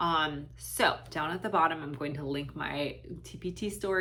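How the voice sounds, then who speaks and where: Audible room echo surrounds a woman as she talks. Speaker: special education teacher and reading tutor. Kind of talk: Q&A talk to camera. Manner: halting, many fillers.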